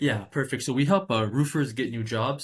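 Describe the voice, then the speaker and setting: Somewhat breathy, a man speaks at a fairly quick pace with medium pitch and ordinary pitch variation over a quiet background. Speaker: cold caller, sales. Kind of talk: sales cold call on phone. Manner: hesitant, stuttering, many fillers.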